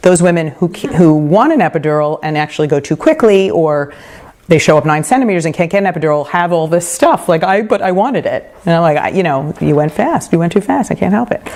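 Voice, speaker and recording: Someone talks at a very fast pace with a New York accent. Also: woman, fairly low pitch for a woman, ordinary pitch variation. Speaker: midwife. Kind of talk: lecture. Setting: home talk group.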